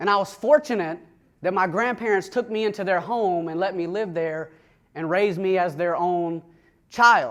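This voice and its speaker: This man talks at a moderate pace with ordinary pitch variation. His recording is very clean and the background silent. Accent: Southern US. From US South, Atlanta, Georgia. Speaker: recovered addict sharing his story. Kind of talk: testimony talk to an audience. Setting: room with an audience.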